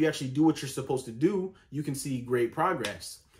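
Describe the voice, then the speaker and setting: Somewhat breathy, a man speaks at a fairly quick pace. His fairly high pitch shows ordinary pitch variation. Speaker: vlogger. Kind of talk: casual vlog monologue. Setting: home, sitting in bed.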